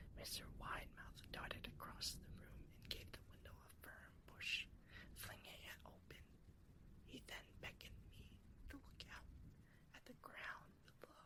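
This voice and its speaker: The voice whispers at a fairly slow pace. Long pauses come often. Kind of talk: scary story reading, ASMR. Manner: soft-spoken, intimate.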